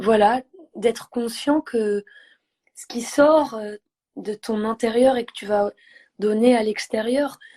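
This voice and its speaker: Dark and mellow, the voice moves very slowly with fairly even intonation. The sound is dry and close, with no echo. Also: woman. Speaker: singer, poet, actress. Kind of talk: interview answer.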